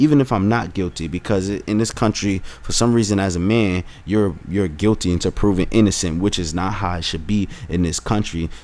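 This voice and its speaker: A man talks in an animated tone at a fairly low pitch. He keeps a fairly quick pace with ordinary pitch variation. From United States. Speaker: vlogger. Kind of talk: opinion vlog. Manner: halting, self-interrupting.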